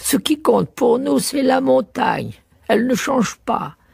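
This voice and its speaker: A put-on character voice holds very even loudness, the sound dry and close with no echo. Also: man, extremely high pitch for a man, moderate pace. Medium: read story. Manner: dry, pedantic.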